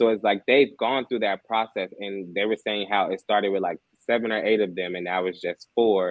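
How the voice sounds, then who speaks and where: Using an ordinary speaking voice, a man talks at a moderate pace with a fairly low pitch and fairly even intonation. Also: hardly any pauses. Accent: American. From Chicago South Side. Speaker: singer-songwriter. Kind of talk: interview.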